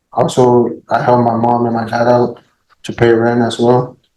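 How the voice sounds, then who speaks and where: A man with a Spanish accent speaks at a fairly slow pace in a dark, mellow tone. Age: 20s. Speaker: criminal defendant. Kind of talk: court testimony. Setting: courtroom. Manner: halting; soft-spoken.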